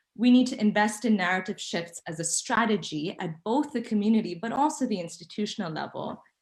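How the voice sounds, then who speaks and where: A somewhat breathy woman's voice at a moderate pace, with ordinary pitch variation. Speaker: panel speaker. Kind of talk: conference presentation.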